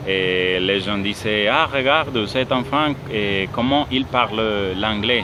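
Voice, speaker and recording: A man with a Spanish accent talks at a very slow pace with ordinary pitch variation over noticeable background noise. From Colombia. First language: Spanish (speaking French). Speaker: language student. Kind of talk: class presentation monologue. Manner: halting, many fillers.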